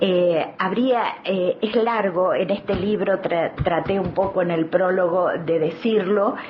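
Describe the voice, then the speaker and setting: A woman with a Rioplatense accent at medium pitch, very slow, with hardly any pauses, very even loudness and fairly even intonation, over noticeable background noise. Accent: Argentine Spanish (rioplatense). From Argentina, Neuquén. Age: 70s. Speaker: activist, children's rights advocate and author. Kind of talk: studio interview. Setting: studio.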